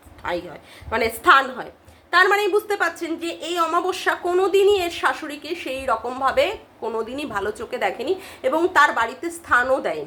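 A woman speaks in an animated tone with a raised, projected voice over noticeable background noise. Her pitch is high, with very wide pitch swings. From West Bengal, Kolkata area. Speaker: YouTube commentary vlogger. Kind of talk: casual vlog commentary.

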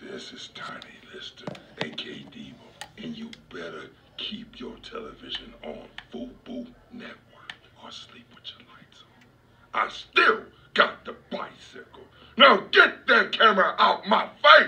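A man puts on a character voice, raspy and gruff, at a fairly slow pace. His loudness swings widely. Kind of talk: mock-threatening comic menace. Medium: short film. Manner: menacing, gruff, commanding.

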